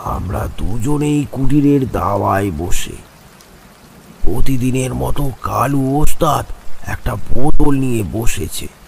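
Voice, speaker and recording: A man speaks very slowly in a cartoonish character voice at a medium pitch. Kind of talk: horror story narration. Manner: slow, dramatic, suspenseful.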